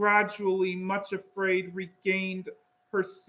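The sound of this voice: Text is being read out. The voice is an unforced reading voice.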